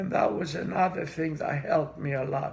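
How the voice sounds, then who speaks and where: A man with a Greek accent talks at a moderate pace, with audible room echo around him. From Greece. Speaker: immigrant interviewee. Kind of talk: interview.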